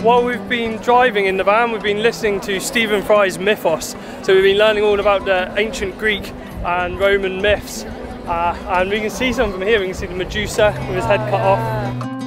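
High-pitched man at a moderate pace with ordinary pitch variation, clear music in the background and a dry sound with no echo. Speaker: travel vlogger. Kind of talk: casual vlog chat. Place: street. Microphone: phone near.

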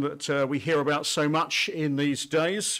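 A man talks fairly slowly, and the background stays quiet. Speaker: pastor. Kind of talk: sermon. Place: church. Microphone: podium.

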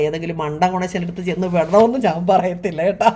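A woman with a fairly low voice speaks with ordinary pitch variation. Background noise is noticeable. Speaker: YouTube vlogger. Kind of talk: casual talk to camera.

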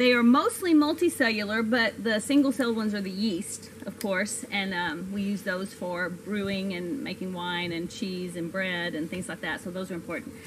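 Over light background noise, a woman talks at a moderate pace with hardly any pauses. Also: ordinary pitch variation. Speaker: science educator. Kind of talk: lecture. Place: garden.

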